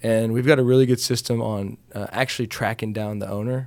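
Someone speaks at a fairly quick pace with an American accent. The recording is very clean, with a silent background. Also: man. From Texas, Round Rock. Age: young. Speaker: real estate investor and property manager. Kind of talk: casual interview. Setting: studio.

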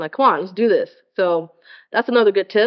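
A woman talks at a moderate pace. Her tone is animated. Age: 30s. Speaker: fitness podcast host. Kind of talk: solo casual monologue.

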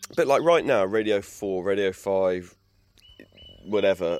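This man has an English accent and a fairly low pitch. He talks at a moderate pace. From England. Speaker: naturalist and bird expert. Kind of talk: interview monologue.

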